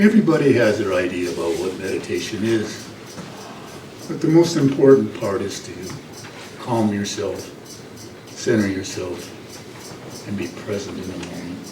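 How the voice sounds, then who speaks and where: Soft-spoken, with a fairly low pitch and lively intonation, a man talks at a moderate pace with big swings in loudness and long, frequent pauses, amid audible room echo and noticeable background noise. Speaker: meditation leader. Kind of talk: guided meditation.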